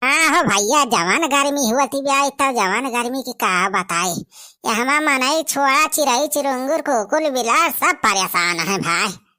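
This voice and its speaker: Using a cartoonish character voice, a high-pitched woman talks at a moderate pace with hardly any pauses. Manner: excited, nosy.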